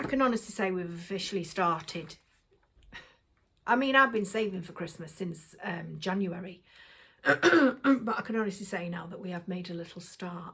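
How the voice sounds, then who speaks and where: With an English accent, a woman speaks at a moderate pace in a medium pitch with ordinary variation. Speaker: shopping haul vlogger. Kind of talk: casual chat. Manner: casual, hesitant with fillers.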